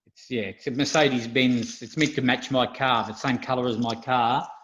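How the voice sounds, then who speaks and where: An Australian accent marks this man's speech, delivered at a moderate pace and medium pitch with fairly even intonation. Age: 60s. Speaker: retired amusement game industry worker. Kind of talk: casual interview chat. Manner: hesitant, many fillers.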